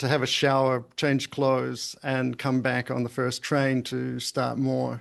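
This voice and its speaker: Monotone, flat intonation in a New Zealand accent, with hardly any pauses. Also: man, medium pitch for a man, fairly slow pace. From Invercargill, New Zealand. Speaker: pharmaceutical company CEO. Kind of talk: podcast interview answer.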